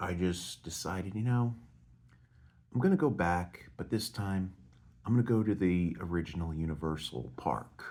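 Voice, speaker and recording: Soft-spoken and dark, mellow in tone, the voice has lively intonation at a moderate pace. Long pauses come often. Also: man, very deep, low pitch for a man. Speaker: vlogger. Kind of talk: casual monologue. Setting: hotel at night.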